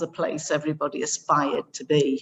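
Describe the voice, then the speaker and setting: Someone speaks at a fairly slow pace in a North East England accent. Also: woman. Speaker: education director. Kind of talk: conference presentation.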